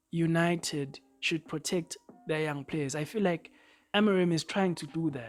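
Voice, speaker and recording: Music plays in the background as a woman with a fairly low pitch speaks at a fairly slow pace with ordinary pitch variation. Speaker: football YouTuber. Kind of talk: casual opinion vlog. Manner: halting, repeats words.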